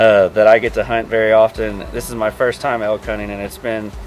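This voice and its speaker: A Kentucky accent at a fairly quick pace, fairly even intonation, music in the background. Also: man. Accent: Kentucky Southern US. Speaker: hunter. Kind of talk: casual chat.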